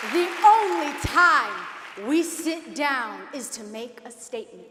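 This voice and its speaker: A woman's extremely high voice with an American accent, against noticeable background noise. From Denver, Colorado, USA. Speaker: spoken word poet. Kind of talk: spoken word poetry performance. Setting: live event stage.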